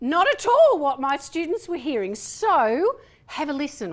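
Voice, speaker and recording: A woman with a strong Australian accent. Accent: broad Australian. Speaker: presentation and voice trainer. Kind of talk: conference workshop talk. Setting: stage with audience.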